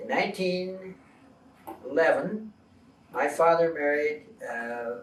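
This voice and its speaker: Speaking very slowly with a rural Ontario accent, a man has a high pitch. The room echoes audibly, and there is noticeable background noise. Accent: Canadian English, Ontario rural. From Ontario, Canada (Toronto Township, now Mississauga). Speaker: retired farmer. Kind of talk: interview, personal recollection. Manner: hesitant, many fillers.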